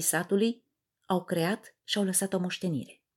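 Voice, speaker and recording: At a moderate pace, a woman uses a normal speaking voice of medium pitch with ordinary pitch variation, in a very clean recording with a silent background. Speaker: podcast host, communication coach. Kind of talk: scripted lecture; storytelling monologue.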